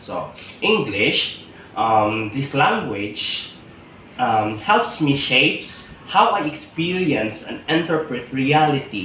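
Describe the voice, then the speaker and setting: Amid noticeable background noise and audible room echo, a man with a Visayan Filipino accent talks at a very slow pace and medium pitch with lively intonation. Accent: Filipino (Cebuano) English. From Philippines, Cebuano-speaking region. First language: Cebuano. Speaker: teacher. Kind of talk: interview answer. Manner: hesitant, many fillers.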